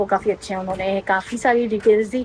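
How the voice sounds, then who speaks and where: Her intonation stays monotone and flat as a woman talks at a fairly high pitch. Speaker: travel vlogger. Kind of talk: casual vlog narration.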